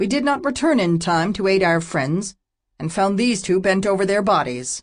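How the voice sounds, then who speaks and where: Against a quiet background, a man puts on a character voice pitched high for a man. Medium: read story. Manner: cold, clipped, haughty.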